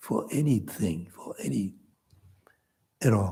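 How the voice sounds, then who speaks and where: This man's voice has a dark, mellow tone with vocal fry. His pitch swings very widely. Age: 80s+. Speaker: Buddhist teacher. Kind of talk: dharma class lecture.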